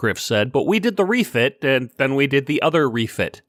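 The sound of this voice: An unforced reading voice carries the clip.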